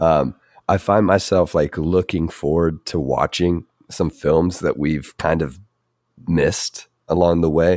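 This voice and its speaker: In a very clean recording with a silent background and a dry, close sound with no echo, a man with a very deep, low pitch and vocal fry talks at a fairly slow pace, with fairly even intonation and very even loudness. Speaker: podcast co-host. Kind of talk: casual chat.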